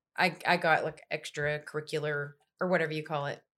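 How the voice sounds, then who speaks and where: A woman's very deep, low-pitched voice with an East Texas accent at a fairly quick pace. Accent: East Texas Southern US. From East Texas, Longview. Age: 20s. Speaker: country singer-songwriter and radio host. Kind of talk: casual chat. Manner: animated.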